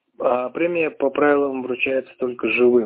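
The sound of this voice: A man speaks at a medium pitch and a moderate pace with ordinary pitch variation.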